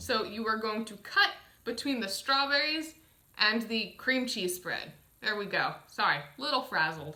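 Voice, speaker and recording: A woman speaks at a fairly slow pace with lively intonation and a fairly high pitch against a quiet background. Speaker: dietitian teaching a kids' cooking class; cooking demonstrator. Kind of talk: tutorial. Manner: slightly flustered, stumbling. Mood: cheerful, slightly flustered. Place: home room. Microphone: camera far.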